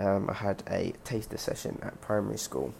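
This voice belongs to a man. A London accent colors his speech. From London, England. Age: 20s. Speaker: gymnast. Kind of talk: casual monologue podcast.

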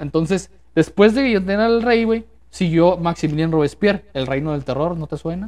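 With lively intonation and a high pitch, a man talks at a moderate speed. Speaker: podcast host. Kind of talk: casual chat. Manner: casual, slangy.

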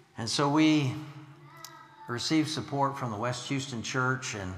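Noticeable background noise accompanies a man with an American accent who speaks at a medium pitch and a moderate pace, with ordinary pitch variation. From US Midwest, Illinois. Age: 60s. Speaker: missionary preacher. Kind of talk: sermon. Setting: church.

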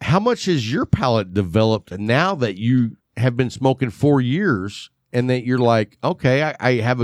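Speaking at a moderate pace over a quiet background, a man with a West Texas accent uses a medium pitch and lively intonation. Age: 50s. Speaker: cigar show host. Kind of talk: casual chat. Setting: home studio, video. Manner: joking, sarcastic.

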